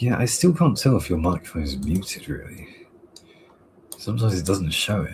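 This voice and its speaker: A soft-spoken, somewhat breathy man at a fairly low pitch, very wide pitch swings, moderate pace. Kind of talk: casual chat. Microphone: sounds too quiet on other streams.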